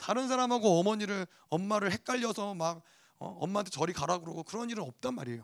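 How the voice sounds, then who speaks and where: A high-pitched male voice at a very fast pace, with lively intonation. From Korea, teenage years in the US. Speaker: pastor. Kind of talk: sermon.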